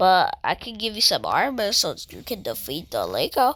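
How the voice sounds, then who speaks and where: In a very clean recording with a silent background, a female-sounding put-on character voice speaks at a moderate pace with a high pitch. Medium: machinima.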